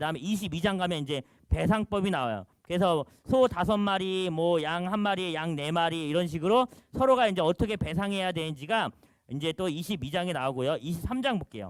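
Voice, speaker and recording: On a very clean recording with a silent background, a man speaks at a fairly quick pace in a high pitch with lively intonation. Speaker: pastor teaching a Bible class. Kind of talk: lecture. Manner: fast.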